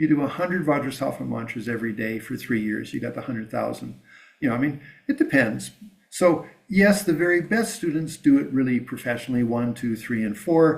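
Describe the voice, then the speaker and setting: A man with a plain, everyday voice, medium pitch, lively intonation and a fairly quick pace. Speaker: Buddhist lama teacher. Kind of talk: dharma teaching. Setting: teaching with live translation.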